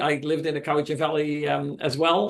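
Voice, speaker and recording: This man speaks at a moderate pace with a Dutch accent. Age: 70s. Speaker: documentary filmmaker. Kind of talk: presentation to a club meeting. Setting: meeting room, also streamed on Zoom. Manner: halting, many fillers.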